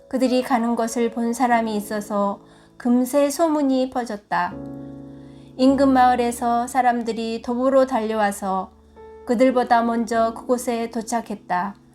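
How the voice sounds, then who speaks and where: With music in the background, a woman speaks very slowly at a high pitch, her intonation fairly even. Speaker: church deaconess. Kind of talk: scripture reading.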